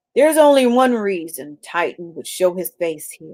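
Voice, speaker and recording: A woman uses a put-on character voice, rumbling and medium in pitch, with very wide pitch swings at a moderate pace. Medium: read story.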